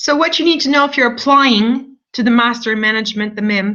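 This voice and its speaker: A woman with a non-native accent speaks in a fairly high voice. Her tone is bright and sharp, and her intonation stays fairly even. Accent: non-French, foreign accent noted by herself. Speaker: university admissions representative. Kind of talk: online information session presentation. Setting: online video broadcast with screen share.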